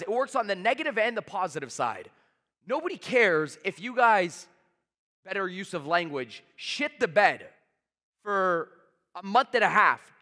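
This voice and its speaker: A man with a Canadian accent uses a raised, projected voice. His tone is bright and sharp, with very wide pitch swings. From Canada, Toronto. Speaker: sales trainer. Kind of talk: motivational talk. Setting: stage with audience. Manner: fast; high energy.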